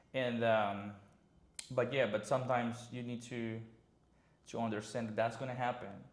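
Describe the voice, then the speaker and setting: A man with a Spanish accent speaks at a medium pitch in a flat monotone, leaving long, frequent pauses. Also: moderate pace. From Mérida, Mexico. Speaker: concierge service founder. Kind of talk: podcast interview answer.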